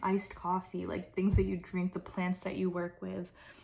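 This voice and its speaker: Soft-spoken, a woman talks at medium pitch. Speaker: spiritual tarot reader. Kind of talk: intuitive reading monologue. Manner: relaxed.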